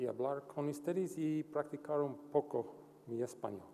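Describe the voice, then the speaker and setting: The voice has a non-native accent and a dark, mellow tone. It moves at a very slow pace. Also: man. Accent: non-native Spanish speaker. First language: English (speaking Spanish). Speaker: psychology researcher, invited speaker. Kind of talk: conference talk.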